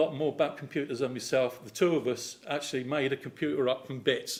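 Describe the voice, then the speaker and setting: This man's fairly high-pitched voice races along at a very fast pace, with ordinary pitch variation. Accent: English. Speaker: lay preacher. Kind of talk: sermon. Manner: animated.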